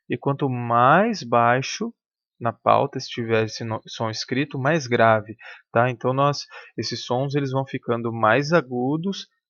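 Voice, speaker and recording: Against a quiet background, a man speaks at a fairly slow pace and medium pitch with ordinary pitch variation, the sound dry and close with no echo. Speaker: music teacher. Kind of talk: lecture. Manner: halting.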